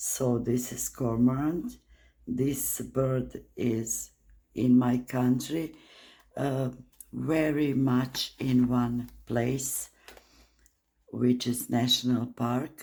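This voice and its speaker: The speaker, with a non-native accent, goes at a very slow pace broken by long, frequent pauses. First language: not English. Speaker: art channel creator. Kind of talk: casual art walkthrough. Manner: hesitant, many fillers.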